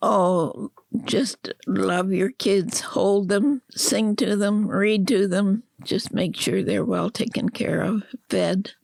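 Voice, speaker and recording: The woman speaks at a very slow pace, her sound dry and close with no echo. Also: medium pitch for a woman, ordinary pitch variation, very even loudness. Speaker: interviewee. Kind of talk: casual chat. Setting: at home.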